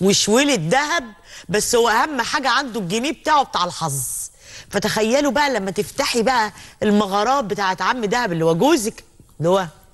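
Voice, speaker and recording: A woman speaks with lively intonation at a moderate pace while the background stays quiet. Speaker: talk show host. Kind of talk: talk show presenting. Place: studio. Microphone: lapel.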